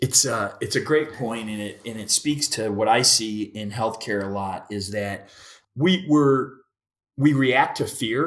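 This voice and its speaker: A man with an unremarkable speaking voice goes at a fairly slow pace with ordinary pitch variation, on a very clean recording with a silent background. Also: medium pitch for a man. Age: 50s. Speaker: podcast host. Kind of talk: podcast interview.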